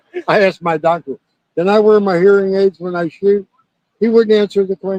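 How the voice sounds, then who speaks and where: A loud man talks at a moderate pace with a high pitch and ordinary pitch variation. The sound is dry and close, with no echo. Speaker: shooting competitor. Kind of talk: casual chat.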